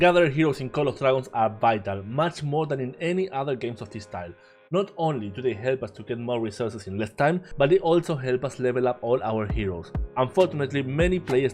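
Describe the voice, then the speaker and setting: Speech races along at a very fast pace with lively intonation in a Spanish accent. Music plays in the background. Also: man. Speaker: game content creator. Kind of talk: game guide narration.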